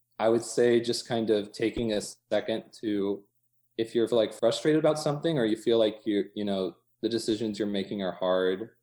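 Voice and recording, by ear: A man's dark, mellow tone, fairly low in pitch, with ordinary pitch variation at a moderate pace.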